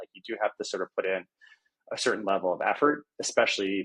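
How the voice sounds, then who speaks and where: A man at a very fast pace, the sound dry and close with no echo. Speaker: product management leader, podcast guest. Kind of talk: interview. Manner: stutter; casual, many fillers.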